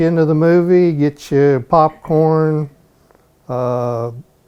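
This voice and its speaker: With a Southern US accent, a man speaks at a fairly high pitch with ordinary pitch variation. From US South, Georgia (Conyers, near Atlanta). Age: 60s. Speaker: local resident. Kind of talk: interview, personal recollections. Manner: conversational, some hesitations.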